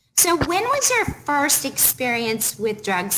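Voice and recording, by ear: A woman's high-pitched, fairly bright voice at a fairly slow pace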